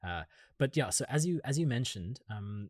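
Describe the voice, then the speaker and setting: A man with a German accent speaks at a moderate pace with lively intonation and a somewhat breathy voice. The recording is very clean with a silent background, and the sound is dry and close with no echo. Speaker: podcast interviewer. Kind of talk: interview.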